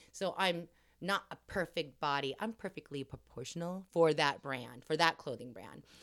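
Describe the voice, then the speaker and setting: With a Californian accent, a woman speaks at a moderate pace in a very deep, low voice. Her intonation is lively, with big swings in loudness. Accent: Californian American. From Los Angeles area. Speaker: podcast co-host, actress. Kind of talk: casual chat.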